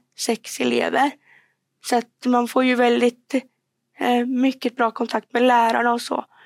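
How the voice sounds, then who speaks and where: In a dry, close recording with no echo, a woman speaks at a high pitch and a fairly slow pace with monotone, flat intonation. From Värmland, Sweden (Degerfors). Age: 20s. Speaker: student and public speaker. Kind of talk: podcast interview.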